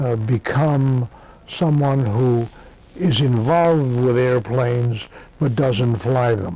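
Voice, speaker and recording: A man with an American accent talks at a very slow pace in a dark, mellow tone. His pitch is medium, with ordinary variation. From Massachusetts. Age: 70s. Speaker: war veteran. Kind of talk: oral history interview. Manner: halting, many fillers.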